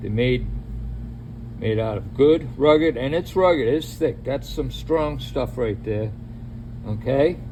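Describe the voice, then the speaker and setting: A man with an American accent amid noticeable background noise and audible room echo. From New England, Boston area. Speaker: DIY mechanic. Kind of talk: tutorial. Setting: home garage. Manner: casual, conversational.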